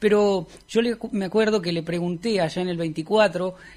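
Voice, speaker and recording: The intonation of this man stays fairly even. He talks at a moderate pace. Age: 20s. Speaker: radio host. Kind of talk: radio interview. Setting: radio studio. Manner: halting.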